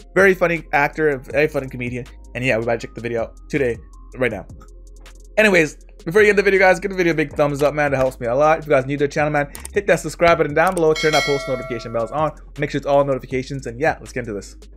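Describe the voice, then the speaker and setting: A man's very fast speech with ordinary pitch variation and big swings in loudness, faint music in the background. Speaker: reaction video creator. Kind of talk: casual vlog chat. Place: home room.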